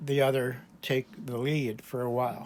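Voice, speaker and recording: Here a man talks at a medium pitch and a moderate pace. His pitch varies in an ordinary way. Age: 60s. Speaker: YouTube channel owner, spiritual self-help speaker. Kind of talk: personal testimony monologue. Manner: halting, with false starts.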